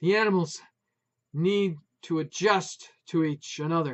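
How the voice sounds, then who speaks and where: Moderate pace and high pitch in a man's put-on character voice. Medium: read story. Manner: loud, emotional.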